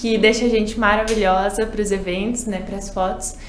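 Audible room echo and light background noise accompany a woman speaking at a moderate pace with a fairly high pitch. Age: 20s. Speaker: beauty pageant contestant. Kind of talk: casual interview. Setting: studio. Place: studio.

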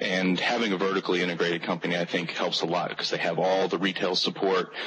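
The speech comes at a very fast pace in a monotone, flat intonation, with noticeable background noise. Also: man. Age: 20s. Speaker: gaming panelist. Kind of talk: roundtable discussion. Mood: relaxed, conversational. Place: home room. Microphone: video call.

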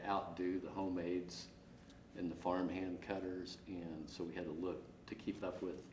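A man with an American accent speaks at a moderate pace in a very deep, low, somewhat breathy voice with monotone, flat intonation. Audible room echo and light background noise are present. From northeast Kansas. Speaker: custom harvester. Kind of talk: interview. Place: empty room.

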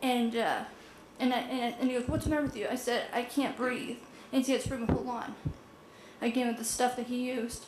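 A woman speaks at a high pitch and fairly quick pace with monotone, flat intonation and long, frequent pauses. There is audible room echo and noticeable background noise. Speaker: resident speaking at public comment. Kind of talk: public testimony at city council. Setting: city council meeting. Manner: fast; halting, repetitive.

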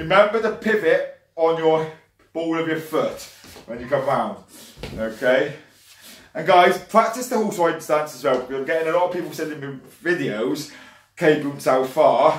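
A man's fairly high voice with big swings in loudness and long, frequent pauses, in audible room echo. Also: lively intonation, moderate pace. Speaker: martial arts instructor. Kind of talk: online fitness class, instructing exercises and counting down. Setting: video call. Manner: brisk, encouraging, commanding; clear, rhythmic, upbeat coaching cues. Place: home room. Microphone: webcam.

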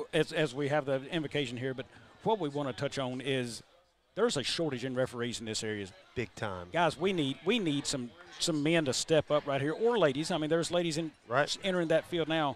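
The man talks at a fairly quick pace with lively intonation. The sound is dry with no echo, over light background noise. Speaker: sports commentator. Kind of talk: commentary. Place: booth. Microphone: headset.

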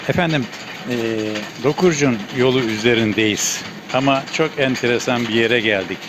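A man speaks at a fairly slow pace with ordinary pitch variation. Noticeable background noise sits behind him. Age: 70s. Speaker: local TV reporter. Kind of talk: field interview questions.

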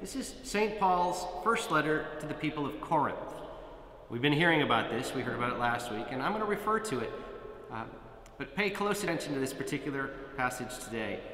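In a room with audible echo and light background noise, a man speaks at a fairly quick pace with very wide pitch swings. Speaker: priest. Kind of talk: sermon. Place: church. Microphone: camera far.

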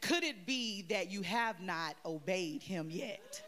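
A woman at a very slow pace, with light background noise. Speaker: guest preacher. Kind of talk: sermon. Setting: church. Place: church. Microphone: handheld.

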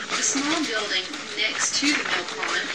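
Speech comes at a moderate pace. Loud background noise is present. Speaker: railway tour narrator. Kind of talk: tour guide narration. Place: train.

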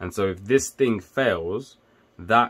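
A man speaks with pitch that shifts in an ordinary way. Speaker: electrical engineer and tech video maker. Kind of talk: casual tutorial. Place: home room.

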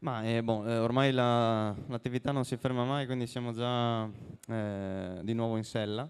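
Fairly slow, fairly even speech from a man at medium pitch. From Friuli, Italy (Buia); Friuli, Italy. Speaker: professional cyclist; guest. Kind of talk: interview on stage. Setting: stage with audience. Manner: halting. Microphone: handheld.

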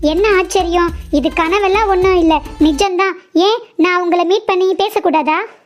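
A woman uses a cartoonish character voice at an extremely high pitch, with fairly even intonation and very even loudness. She speaks at a moderate pace as faint music plays in the background.

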